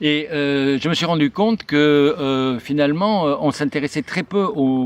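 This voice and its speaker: Lively intonation marks this fairly slow delivery. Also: man. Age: 60s. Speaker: journalist and writer. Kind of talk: video channel introduction. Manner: halting, many hesitations.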